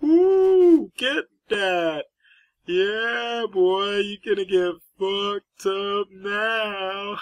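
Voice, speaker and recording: The voice is fairly high and put on, like a character. Its pace is very slow. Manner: obnoxious, hyped, gloating.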